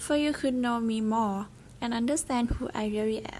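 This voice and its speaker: Noticeable background noise sits behind a woman with a Thai accent. Her fairly high voice moves at a moderate pace with ordinary pitch variation. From Thailand (Bangkok, later Pattani). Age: 20s. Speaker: university student vlogger. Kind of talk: scripted presentation vlog.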